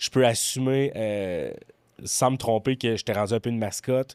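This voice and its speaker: A man with a Quebec accent, fairly even intonation and a moderate pace, in a dry, close sound with no echo. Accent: Québécois French. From Quebec City area (Beauport). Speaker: comedian and former restaurant server. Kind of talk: casual podcast chat.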